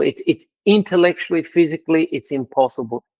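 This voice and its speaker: A man is speaking. He has an Australian accent. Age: 60s. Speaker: language school executive. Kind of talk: interview.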